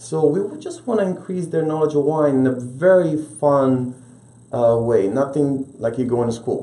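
Speaking with an Italian accent at a fairly slow pace, a man uses a fairly high pitch and ordinary pitch variation, with audible room echo. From Italy, Rome. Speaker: restaurant owner; guest. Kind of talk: interview. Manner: animated. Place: studio.

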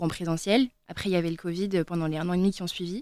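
A woman with an unremarkable speaking voice, fairly low pitch, fairly even intonation and a fairly quick pace, in a dry sound with no echo and a quiet background. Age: young. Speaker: student; radio guest. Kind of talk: radio panel discussion. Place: studio. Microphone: studio mic.

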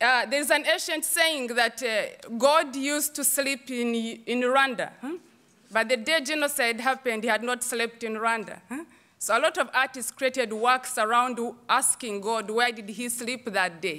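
A woman speaks at a moderate pace in a high, bright, sharp tone against a quiet background. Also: ordinary pitch variation. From Uganda. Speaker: theatre director and choreographer; panelist. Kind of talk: panel talk. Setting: stage with audience. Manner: animated. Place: stage. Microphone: podium.

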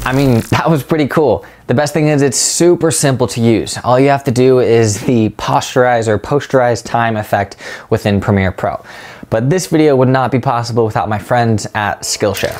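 A man talks with ordinary pitch variation. Music plays in the background. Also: moderate pace. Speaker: video editing creator. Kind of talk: casual tutorial vlog chat. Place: home room. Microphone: lapel.

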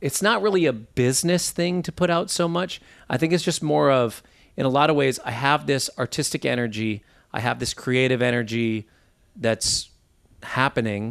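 Against a quiet background, a man with an ordinary speaking voice talks at a medium pitch and moderate pace, his intonation lively. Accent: American. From US Midwest, Minneapolis. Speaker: guitarist and bandleader. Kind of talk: interview.

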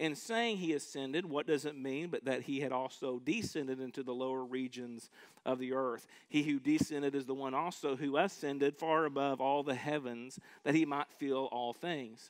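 In a quiet setting, a man's pitch moves in an ordinary way as he talks at a moderate speed. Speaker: pastor. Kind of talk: sermon, reading scripture. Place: church. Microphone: headset.

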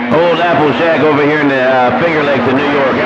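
This man's fairly quick speech comes with noticeable background noise. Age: 60s. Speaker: CB radio hobbyist and video channel owner. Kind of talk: CB radio chatter. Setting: CB radio transmission. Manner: casual, folksy.

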